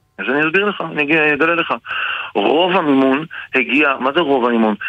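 A man talks fairly quickly with ordinary pitch variation, noticeable background noise behind him. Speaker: politician. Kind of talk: radio interview.

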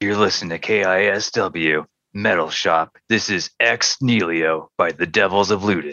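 A man uses a put-on character voice with a very deep, low pitch. He speaks at a moderate pace. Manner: cheesy, overdone announcer delivery.

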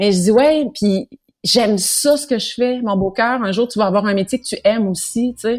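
A woman speaks with a fairly high pitch and a somewhat breathy voice. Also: ordinary pitch variation, moderate pace. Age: 30s. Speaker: singer and TV host. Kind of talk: casual interview.

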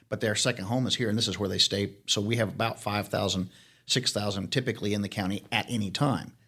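Bright and sharp in tone, a man speaks with a fairly low pitch and fairly even intonation on a very clean recording with a silent background. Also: fairly quick pace. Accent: American. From Arizona. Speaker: county sheriff. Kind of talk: interview conversation.

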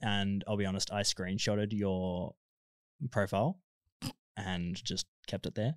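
In an Australian accent, a man speaks at a fairly low pitch on a very clean recording with a silent background, dry and close with no echo. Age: 20s. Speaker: lifeguard. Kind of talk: casual chat.

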